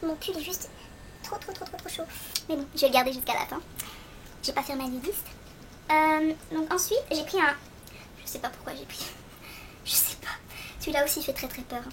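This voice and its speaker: A high-pitched woman talks with ordinary pitch variation, big swings in loudness, and long, frequent pauses. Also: moderate pace. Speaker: beauty vlogger. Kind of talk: product review tutorial.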